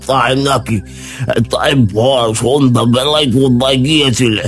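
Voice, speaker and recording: Over clear background music, a man performs a cartoonish character voice at a medium pitch and a fairly slow pace. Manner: hesitant, coughing, with drawn-out ums and ahs.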